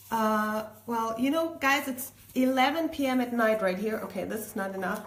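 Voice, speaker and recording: This woman has a German accent and a fairly high pitch, with ordinary pitch variation. She speaks at a moderate pace over noticeable background noise. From Germany. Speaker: DIY crafter. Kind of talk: live tutorial. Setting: home kitchen.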